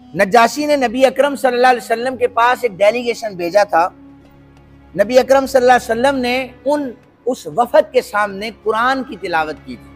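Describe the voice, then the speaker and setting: Over music in the background, a man speaks at an extremely high pitch with ordinary pitch variation. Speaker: Islamic scholar giving a lecture. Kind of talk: religious lecture retelling a historical story.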